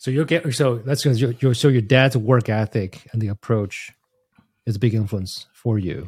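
Somewhat breathy, a man speaks at medium pitch with ordinary pitch variation and a moderate pace. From Taiwan. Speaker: podcast host. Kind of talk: casual interview.

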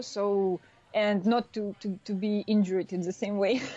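A woman's dark, mellow voice at medium pitch, with a Russian accent and a fairly slow pace. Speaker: former snowboarder, tech startup founder. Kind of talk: interview. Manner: halting.

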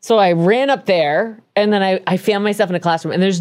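A woman with a Canadian accent speaks in a normal speaking voice at medium pitch with ordinary pitch variation, on a very clean recording with a silent background. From Canada. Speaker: true crime podcast host. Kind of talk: casual chat with storytelling.

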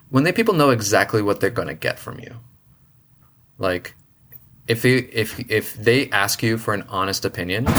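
With a bright, sharp tone and an American accent, a man talks at a moderate pace and medium pitch, with ordinary pitch variation and long, frequent pauses. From US Northeast (Boston). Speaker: engineer and biologist. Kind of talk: casual chat.

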